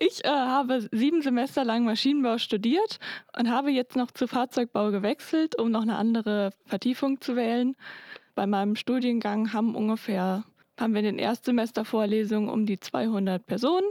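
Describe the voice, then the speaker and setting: A woman speaks at a fairly high pitch in a dark, mellow tone. Her pitch variation is ordinary, and the sound is dry and close with no echo. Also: moderate pace, very even loudness, very clean recording, silent background. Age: 20s. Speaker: engineering student. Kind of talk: interview.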